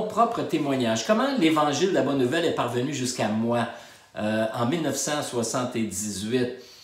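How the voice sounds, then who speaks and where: A man's voice swings very widely in pitch, with noticeable background noise and audible room echo. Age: 60s. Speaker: pastor. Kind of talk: testimony. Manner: halting.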